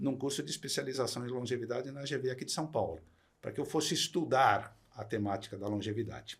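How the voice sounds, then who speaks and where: A man's somewhat breathy voice at a medium pitch, moving at a fairly quick pace. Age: 60s. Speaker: retired executive turned entrepreneur. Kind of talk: podcast interview.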